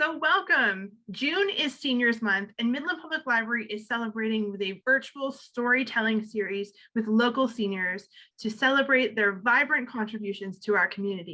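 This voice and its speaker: A woman with a bright, sharp tone and fairly high pitch speaks at a moderate pace with lively intonation. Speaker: library services coordinator. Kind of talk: interviewer questions.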